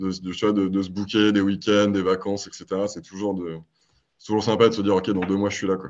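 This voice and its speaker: With monotone, flat intonation, a man speaks at a moderate pace in a fairly low pitch. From Paris, France. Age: 30s. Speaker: startup marketing executive. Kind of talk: podcast interview.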